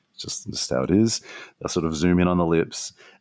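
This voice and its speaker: A dark, mellow voice speaks at a fairly quick pace in an Australian accent. The recording is very clean with a silent background, and the sound is dry and close with no echo. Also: man. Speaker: strategist and author. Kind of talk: podcast interview.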